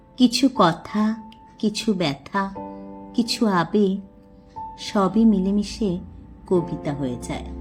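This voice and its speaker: A woman's medium-pitched voice is heard with music playing behind it. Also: lively intonation. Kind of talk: poetry reading. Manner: emotional.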